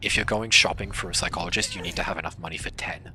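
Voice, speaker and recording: A man rattles along very fast while noticeable background noise fills the recording. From Australia. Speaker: gaming streamer. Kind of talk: casual live stream commentary. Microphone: quiet audio.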